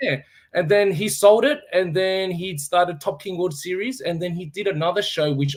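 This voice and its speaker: A man is speaking. He has an Australian accent. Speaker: former fighter and fight promoter. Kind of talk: casual interview on live stream. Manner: halting.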